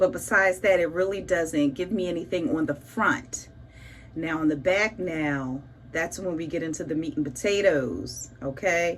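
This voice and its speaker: In a room with audible echo, a woman with a fairly low voice speaks in an animated tone. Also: ordinary pitch variation, moderate pace. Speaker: beauty vlogger. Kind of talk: casual tutorial vlog. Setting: home bathroom.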